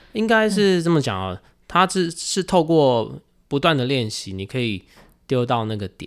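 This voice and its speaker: Over a very clean recording with a silent background, a man with a Taiwanese accent speaks at a moderate pace in a fairly high pitch, with very wide pitch swings. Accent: Taiwanese Mandarin. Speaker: juggling performer. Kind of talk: casual chat.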